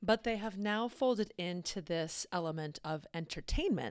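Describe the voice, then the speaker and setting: A woman's ordinary speaking voice, fairly slow with ordinary pitch variation, on a very clean recording with a silent background. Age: 40s. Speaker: podcast host. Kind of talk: solo podcast monologue. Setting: home recording in the evening.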